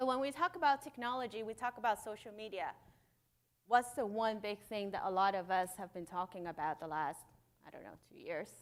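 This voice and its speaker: Speaking at a fairly quick pace with a non-native accent, a woman has a fairly high pitch. Her intonation is lively, and her loudness swings widely. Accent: noticeable non-native. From Hong Kong. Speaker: conference speaker, startup founder. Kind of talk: conference keynote talk. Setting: stage with audience. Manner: animated.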